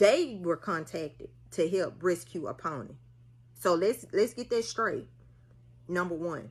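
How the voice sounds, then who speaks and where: A woman speaks with a strong Mississippi accent and an animated tone. Her pace is moderate. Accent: thick Mississippi Southern. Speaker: social media commenter, mother. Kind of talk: casual vlog rant.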